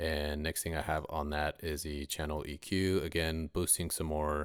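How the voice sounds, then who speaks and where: Against a quiet background, a man speaks in a very deep, low pitch with monotone, flat intonation at a fairly slow pace, the sound dry with no echo. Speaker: rapper and mixing tutorial maker; mixing tutorial maker. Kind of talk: tutorial.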